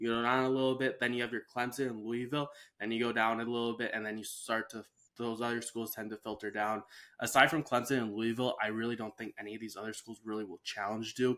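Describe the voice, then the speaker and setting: A man's medium-pitched, bright, sharp voice at a very fast pace, monotone with flat intonation, on a very clean recording with a silent background. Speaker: sports podcast host. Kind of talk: casual sports chat. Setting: podcast recording.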